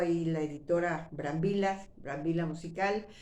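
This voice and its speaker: Audible room echo surrounds a woman speaking at a medium pitch. She keeps a fairly slow pace and fairly even intonation. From Mexico City. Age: 60s. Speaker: retired actress and YouTuber. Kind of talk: personal storytelling monologue. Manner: conversational, with fillers and false starts.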